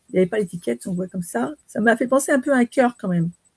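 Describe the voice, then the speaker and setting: A woman talks at a very fast pace. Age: 60s. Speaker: training participant. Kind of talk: casual chat. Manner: halting.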